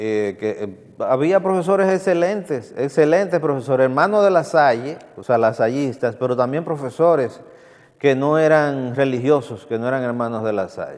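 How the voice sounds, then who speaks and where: A man's fairly high voice in a Dominican Cibao accent, at a moderate pace with lively intonation. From Dominican Republic, Santiago. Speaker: TV culture show host. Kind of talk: TV commentary. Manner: halting with repetitions.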